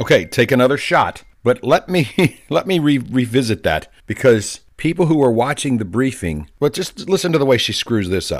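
A man with vocal fry and an animated tone, very wide pitch swings, hardly any pauses and a moderate pace. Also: medium pitch for a man, very clean recording, silent background. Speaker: political commentator podcast host. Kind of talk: opinionated political rant with played clips. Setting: pre-recorded show. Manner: animated, sarcastic.

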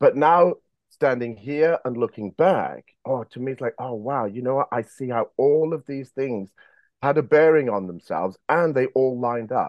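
A man speaks with medium pitch at a moderate pace. His pitch varies in an ordinary way. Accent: English. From England, boarding school in Wales. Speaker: former bank robber telling his story. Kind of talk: interview storytelling. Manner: halting, many fillers.

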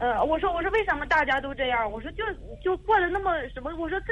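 Over noticeable background noise, a woman talks very fast in an extremely high voice with lively intonation. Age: 30s. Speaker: caller seeking advice. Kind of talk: phone-in advice call. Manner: halting, many fillers.

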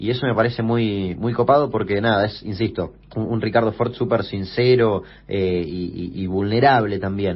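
Moderate pace and ordinary pitch variation from a man with a fairly low voice. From Argentina, Chaco. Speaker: youtuber and podcast host. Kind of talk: interview. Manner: hesitant, with fillers.

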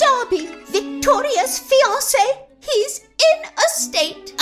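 A woman puts on a character voice, extremely high in pitch with very wide pitch swings. She talks very slowly while faint music plays behind her. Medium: audio drama. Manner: genteel, fluttery.

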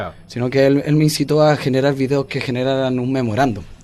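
A man talks at a moderate pace and a medium pitch. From Chile, Santiago (Renca). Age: 20s. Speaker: rapper. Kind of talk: interview. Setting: studio.

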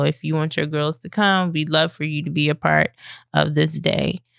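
A woman's very deep, low voice at a fairly slow pace, on a very clean recording with a silent background. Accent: American. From Maryland Eastern Shore (Salisbury). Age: 30s. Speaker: nonprofit founder and mentoring program director. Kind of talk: radio interview. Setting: studio.

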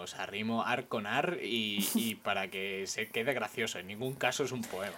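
With a normal speaking voice, a fairly low-pitched man talks at a moderate pace, with ordinary pitch variation and hardly any pauses. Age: 20s. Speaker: podcast co-host. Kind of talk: casual chat. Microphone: new microphone.

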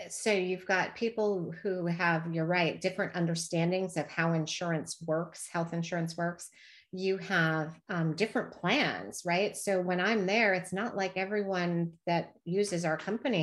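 Speaking in an unremarkable speaking voice, a woman keeps a moderate pace with hardly any pauses, fairly even intonation and a fairly low pitch, in a very clean recording with a silent background. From US Midwest and Texas/Oklahoma, moved often. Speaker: health benefits executive. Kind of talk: casual interview.

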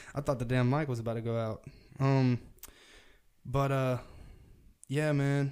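With a Southern US accent, a man speaks at medium pitch and a moderate pace in a monotone, flat intonation, leaving long, frequent pauses. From US South. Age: 20s. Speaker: podcast host. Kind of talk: casual chat.

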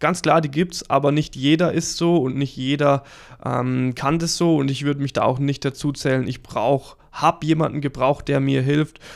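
A man speaks at a moderate pace in a flat monotone. The recording is very clean, with a silent background. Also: fairly high pitch for a man. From Lower Franconia, Germany (near Würzburg). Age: 30s. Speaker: guitar coach and podcast host. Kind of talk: casual monologue.

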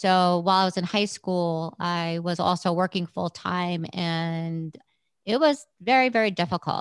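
A woman with a New York accent, medium pitch and fairly even intonation, in a dry, close sound with no echo and a quiet background. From New York City, Brooklyn. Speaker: rehab center founder. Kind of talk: interview.

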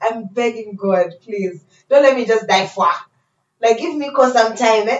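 A woman speaks in an animated tone at a moderate pace with lively intonation. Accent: American. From Tanzania and Pennsylvania, US. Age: 20s. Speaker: radio presenter and actor. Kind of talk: casual chat.

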